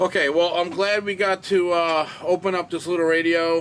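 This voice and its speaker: A man mumbles his words. He speaks at a fairly slow pace. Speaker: amateur radio YouTuber. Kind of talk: tutorial. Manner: mumbling; hesitant, many fillers.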